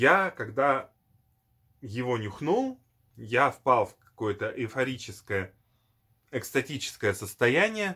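Speaking fairly slowly over a quiet background, a man uses a medium pitch, lively intonation and a bright, sharp tone. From former Soviet Union. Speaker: perfume video blogger; perfume reviewer. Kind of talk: product review. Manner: hesitant, many fillers. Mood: nostalgic, enthusiastic.

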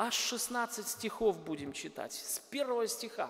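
There is noticeable background noise. A man speaks fairly slowly at a high pitch. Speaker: pastor. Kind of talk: sermon. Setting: church.

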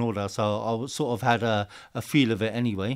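Over a quiet background, a man with a London accent talks at a medium pitch. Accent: southern English, London-area street speech. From England, Hertfordshire. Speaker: Sikh activist. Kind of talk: casual interview. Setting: studio. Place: studio. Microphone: studio mic.

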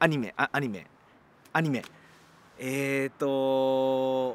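The recording is dry with no echo, carrying a man's voice at a medium pitch. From Japan, Ehime; Japan. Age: 40s. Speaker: rock band guitarist. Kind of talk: interview answers. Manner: hesitant, many fillers. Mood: relaxed, light-hearted. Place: open country.

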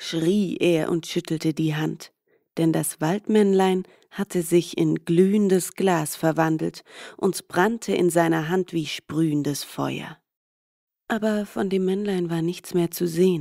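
The woman's intonation is fairly even. She talks at a very slow pace. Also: fairly low pitch for a woman. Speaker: fairy tale reader.

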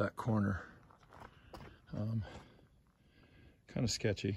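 There is light background noise as a man speaks at a fairly low pitch. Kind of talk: casual vlog commentary. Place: open country. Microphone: phone near.

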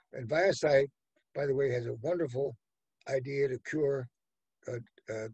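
Somewhat breathy male speech at a moderate pace, dry with no echo against a quiet background. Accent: American. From United States. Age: 80s+. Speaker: venture capitalist. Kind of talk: interview answer, storytelling. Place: home room. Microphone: webcam.

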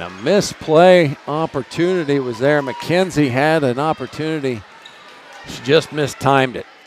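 A man talks at a fairly high pitch with ordinary pitch variation and big swings in loudness. The sound is dry with no echo, over light background noise. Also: moderate pace. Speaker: volleyball play-by-play announcer. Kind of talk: live sports commentary of a volleyball match. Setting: gym broadcast of a live volleyball game. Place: hall.

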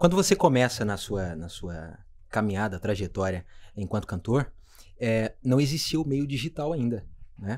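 On a very clean recording with a silent background, a man of medium pitch speaks at a moderate pace, with very wide pitch swings and big swings in loudness. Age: 30s. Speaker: podcast host. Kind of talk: casual interview. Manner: animated.

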